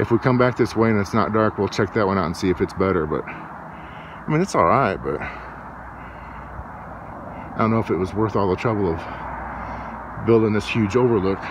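A man's fairly low voice at a moderate pace, with ordinary pitch variation, dry sound with no echo and noticeable background noise. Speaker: travel vlogger. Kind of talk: casual vlog chat. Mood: relaxed, mildly unimpressed. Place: open country. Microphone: phone near.

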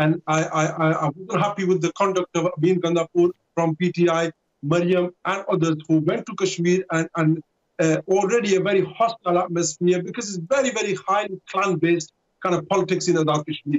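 A man talks in a high pitch at a fairly quick pace. His intonation is fairly even, and the background is quiet. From Pakistan, Rawalpindi area; Pakistan. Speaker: radio presenter and party supporter; radio presenter. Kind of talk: political debate. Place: home room. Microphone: video call.

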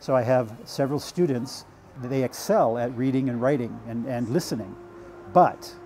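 The speaker has an American accent and talks at a moderate pace with ordinary pitch variation. Light background noise can be heard. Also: man. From United States. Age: 50s. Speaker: language student and English tutor. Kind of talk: documentary interview. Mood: calm, content. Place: home room. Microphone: lapel.

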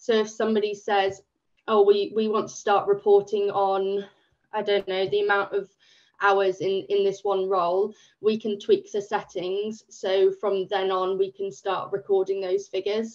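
Against a quiet background, a woman with an English accent speaks in a monotone, flat intonation. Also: moderate pace. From England. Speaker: volunteer project manager. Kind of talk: webinar presentation. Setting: video call. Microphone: video call.

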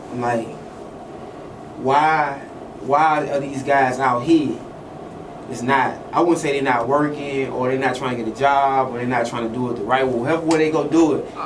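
Noticeable background noise sits behind speech at a moderate pace. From Louisiana. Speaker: interviewer. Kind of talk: casual interview. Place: studio. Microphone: studio mic.

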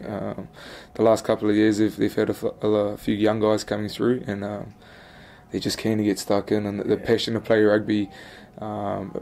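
Here is a man with a New Zealand accent. His voice is fairly low, with a dark, mellow tone. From New Zealand, Wellington (Upper Hutt). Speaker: professional rugby player. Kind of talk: interview. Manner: halting, many fillers and repetitions.

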